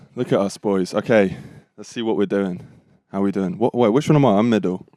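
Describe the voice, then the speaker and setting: A British accent colors this dark, mellow voice at a fairly quick pace. The pitch varies in an ordinary way. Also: man, fairly low pitch for a man. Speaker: podcast host. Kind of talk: casual chat. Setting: caravan. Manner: loud.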